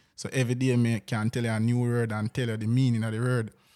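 Flat, monotone intonation at a moderate pace fills a very clean recording with a silent background. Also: man. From Jamaica, Spalding area (Manchester/Clarendon border). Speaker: dancehall producer. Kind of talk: casual interview.

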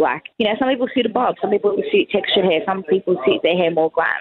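With an Australian accent, a woman talks very fast over noticeable background noise. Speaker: hairstylist and salon owner. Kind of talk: casual interview. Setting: phone or remote call from a cafe. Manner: loud.

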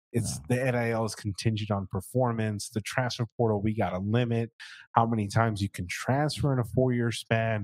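In an unremarkable speaking voice, a man talks at a medium pitch and moderate pace with fairly even intonation, recorded very cleanly against a silent background with a dry, close sound and no echo. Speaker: sports podcast host. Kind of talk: casual sports talk interview.

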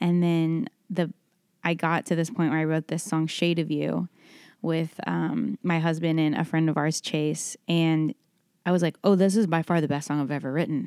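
With an American accent, a woman speaks in a dark, mellow tone at fairly low pitch, moderate pace and ordinary pitch variation. Her loudness is very even, and the sound is dry and close with no echo on a very clean recording with a silent background. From Texas, Dallas. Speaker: singer-songwriter. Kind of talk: interview. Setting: hotel room.

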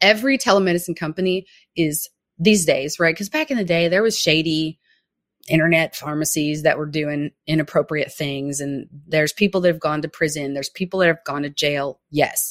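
This woman has a plain, everyday voice, fairly low in pitch with ordinary pitch variation. She speaks at a fairly quick pace, and the sound is dry and close with no echo. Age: 30s. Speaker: family physician, telehealth consultant. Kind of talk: interview.

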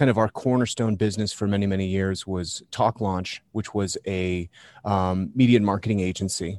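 A man talks at a moderate pace with a fairly low pitch and fairly even intonation, in a plain, everyday voice. The background is quiet. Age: 40s. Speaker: podcast agency co-founder. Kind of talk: interview.

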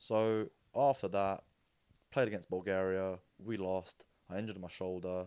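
Very clean and silent in the background, this recording features a man with a British accent. His voice is very deep and low, with a dark, mellow tone. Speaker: interview guest and co-host. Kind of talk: casual chat.

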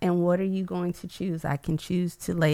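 With an American accent, a woman speaks in a monotone, flat way at a fairly low pitch. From US South, Atlanta. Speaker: artist, nonprofit founder. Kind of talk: interview conversation.

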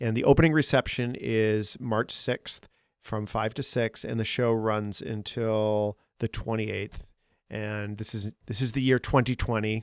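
A man's plain, everyday voice with an American accent, medium pitch, fairly even intonation, and a fairly slow pace, on a very clean, silent recording with a dry, close sound and no echo. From Boston. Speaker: podcast host and artist. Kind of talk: casual interview.

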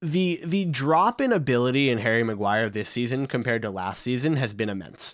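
A man with an American accent talks in a medium-pitched voice with an animated tone and lively intonation. He moves at a fairly quick pace with hardly any pauses. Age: 20s. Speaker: football podcast co-host. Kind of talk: casual chat.

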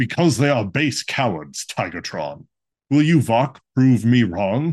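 A put-on character voice at a fairly slow pace, with very wide pitch swings. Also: man, medium pitch for a man. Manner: scornful, commanding.

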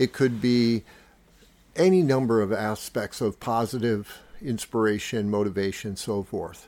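Here is a man with an ordinary speaking voice and a medium pitch. He goes at a fairly slow pace with ordinary pitch variation. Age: 50s. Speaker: podcast host and fitness enthusiast. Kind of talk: solo podcast monologue. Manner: casual, with frequent filler words.

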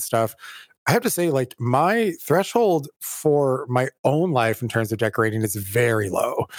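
Here is a man with an unremarkable speaking voice, medium in pitch, with lively intonation. The sound is dry and close with no echo, on a very clean recording with a silent background. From California. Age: 40s. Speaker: theater director and podcast co-host. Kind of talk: casual chat.

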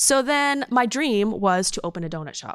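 Over a very clean recording with a silent background, a woman speaks with lively intonation. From Maine. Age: 40s. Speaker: donut shop founder. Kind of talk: casual interview.

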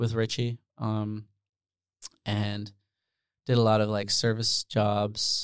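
Very slow and broken by long, frequent pauses, a man's fairly low voice holds a monotone, flat intonation. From Netherlands. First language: Dutch. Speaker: music producer and solo artist. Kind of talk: casual interview chat.

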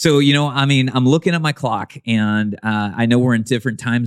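A man's medium-pitched voice with lively intonation at a fairly quick pace, the sound dry and close with no echo. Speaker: church consultant. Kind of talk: casual banter interview. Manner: joking, animated.

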